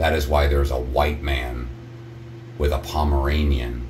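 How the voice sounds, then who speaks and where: Over noticeable background noise, the voice moves at a fairly slow pace. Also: man. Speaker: vlogger. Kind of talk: casual vlog chat. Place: bathroom. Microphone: phone near.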